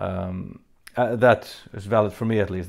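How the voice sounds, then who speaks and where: A man with a Faroese accent and fairly even intonation. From Faroe Islands. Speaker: metal band frontman answering fan questions. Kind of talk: Q&A video monologue. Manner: hesitant, many fillers.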